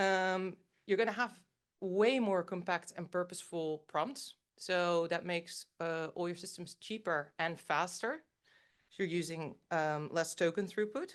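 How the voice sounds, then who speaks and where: Against a quiet background, a woman talks at a fairly slow pace in a fairly low pitch with ordinary pitch variation. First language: Dutch. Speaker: AI company engineer giving a talk. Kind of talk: conference talk with live demo.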